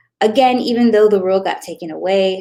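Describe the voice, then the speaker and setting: A woman talks with a non-native accent. The background is quiet. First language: not English. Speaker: Facebook ad strategist. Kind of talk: tutorial. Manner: casual, conversational with fillers.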